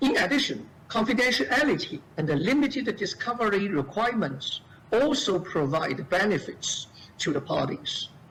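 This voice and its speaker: A high-pitched man speaks with very wide pitch swings and very even loudness. Noticeable background noise is present. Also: moderate pace. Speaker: lawyer. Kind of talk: seminar talk. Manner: halting. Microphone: too quiet.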